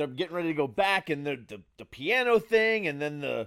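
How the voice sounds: A man speaks in a fairly high voice at a fairly quick pace. His pitch swings widely. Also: fairly bright tone.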